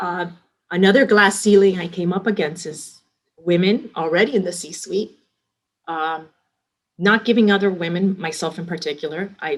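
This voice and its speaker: With a Miami accent, a woman speaks at a moderate pace in a medium pitch, her intonation fairly even. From Miami, Florida (Hialeah), Cuban-American community. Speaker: restaurant company executive. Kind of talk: interview. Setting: podcast interview.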